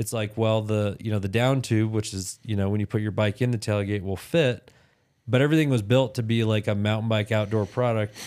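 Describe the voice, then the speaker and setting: On a very clean recording with a silent background, a man with an American accent and a plain, everyday voice speaks at a fairly quick pace, with a fairly low pitch and fairly even intonation. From Utah. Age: 30s. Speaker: entrepreneur. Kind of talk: casual interview.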